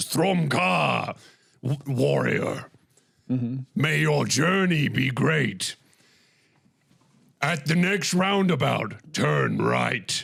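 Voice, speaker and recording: In a raspy, put-on character voice, a man speaks at a very slow pace and fairly high pitch, with long, frequent pauses. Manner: solemn, wise.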